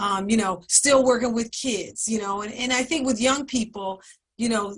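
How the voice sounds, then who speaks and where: A woman speaks in a normal speaking voice at a moderate pace, her pitch fairly high with ordinary variation. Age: 60s. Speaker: community program staff, panelist. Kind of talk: panel discussion. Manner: conversational, many filler words.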